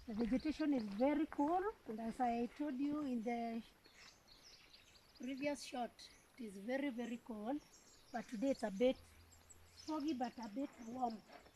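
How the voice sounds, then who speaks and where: A woman speaks at a high pitch with ordinary pitch variation. Her pace is moderate, broken by long, frequent pauses. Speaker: retired teacher. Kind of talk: casual walking vlog talk to camera. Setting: outdoors.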